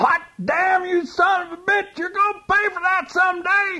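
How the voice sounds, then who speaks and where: A man does a put-on character voice at an extremely high pitch. His intonation stays monotone and flat, and his pace is moderate. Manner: angry, cussing, fiery.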